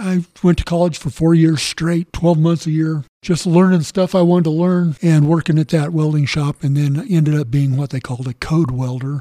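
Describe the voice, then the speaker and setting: A man with a Western US accent speaks at a moderate pace with hardly any pauses, his pitch fairly high and its variation ordinary. His tone is dark and mellow, in a dry, close sound with no echo. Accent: American (Western US). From southern Colorado. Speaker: author and welder, navy veteran. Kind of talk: interview.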